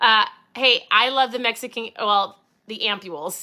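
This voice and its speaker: In an Upper Midwest accent, a woman with a high pitch speaks in an animated tone. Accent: Upper Midwest American. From Minnesota. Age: 40s. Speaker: podcast host and keto coach. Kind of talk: casual livestream talk.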